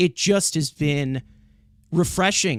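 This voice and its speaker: Recorded dry and close with no echo and a silent background, a very clean clip carries a man's fairly high pitch and ordinary pitch variation. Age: 20s. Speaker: sports podcaster. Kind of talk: casual sports talk. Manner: halting, repeats words.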